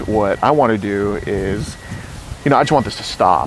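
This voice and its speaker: A man speaks with lively intonation. There is noticeable background noise behind him. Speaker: predator-catcher confronting a suspect. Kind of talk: confrontational interview. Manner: loud.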